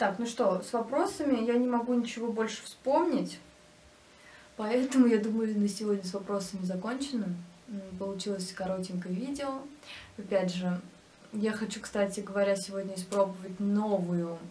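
Long, frequent pauses break up a woman's moderate-paced speech in a medium pitch with ordinary pitch variation. Light background noise can be heard. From Russia, Nizhny Novgorod; Russia. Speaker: YouTube crafts blogger; vlogger. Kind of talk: casual vlog Q&A. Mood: relaxed, friendly. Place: home room.

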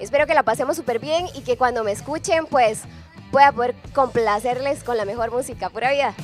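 A woman talks at a fairly quick pace and a high pitch, in an upbeat, enthusiastic tone with ordinary pitch variation. Faint music plays behind the dry sound with no echo. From Costa Rica. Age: 20s. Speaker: radio presenter, drama student. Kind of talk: casual talk to camera, radio station introduction. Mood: excited, happy. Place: studio. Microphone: handheld.

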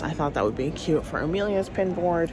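A woman's voice with ordinary pitch variation, dry and echo-free, over music in the background. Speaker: family vlogger. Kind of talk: casual vlog chat. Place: hall. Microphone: phone near.

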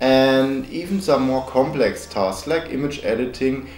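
Faint music plays in the background as a man with a non-native accent speaks at a fairly slow pace amid audible room echo. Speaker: tech reviewer. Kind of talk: product review narration. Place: home room.

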